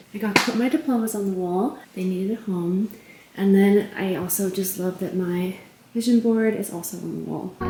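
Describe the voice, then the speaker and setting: Against noticeable background noise, a woman at medium pitch talks at a moderate pace with fairly even intonation. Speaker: lifestyle vlogger. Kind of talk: casual vlog. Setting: home studio room.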